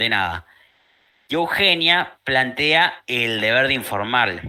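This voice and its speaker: A very slow man with a Rioplatense accent, medium pitch and very wide pitch swings. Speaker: law tutor. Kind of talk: online study group lesson.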